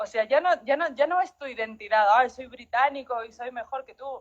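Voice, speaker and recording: A woman speaks with a high-pitched voice. Her pace is moderate. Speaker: writer. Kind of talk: interview. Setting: live stream.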